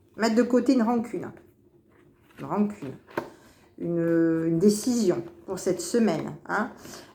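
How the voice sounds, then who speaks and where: A woman with a medium-pitched voice and ordinary pitch variation speaks at a fairly slow pace, leaving long, frequent pauses, with audible room echo around her. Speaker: tarot card reader. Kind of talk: weekly horoscope card reading. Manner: hesitant, repetitive.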